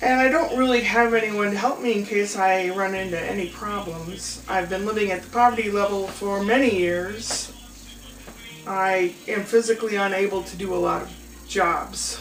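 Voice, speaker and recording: With music playing in the background, a woman speaks amid audible room echo. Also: medium pitch for a woman, ordinary pitch variation, moderate pace. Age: 60s. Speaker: fundraising appeal vlogger. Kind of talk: personal appeal monologue.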